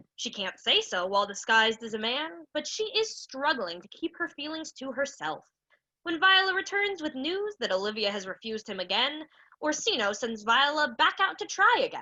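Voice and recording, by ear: A put-on character voice with a bright, sharp tone. The pitch swings widely. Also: woman, high pitch for a woman, moderate pace.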